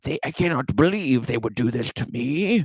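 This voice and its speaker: A man at a medium pitch speaks in a put-on character voice. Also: moderate pace. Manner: overdramatic, aggrieved.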